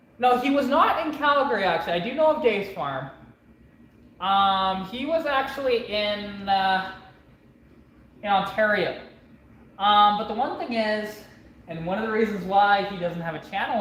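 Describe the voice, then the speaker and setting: Over noticeable background noise and audible room echo, a woman speaks at a fairly slow pace. Her fairly high pitch swings very widely. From Canada. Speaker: mechanic vlogger. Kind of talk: casual chat.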